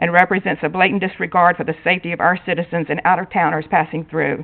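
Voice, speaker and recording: A woman talks at a very fast pace with an American accent. Her pitch sits fairly low. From North Carolina, Wake County. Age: 60s. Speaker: resident speaking at public hearing. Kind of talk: public comment at council meeting, prepared statement. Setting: town council meeting.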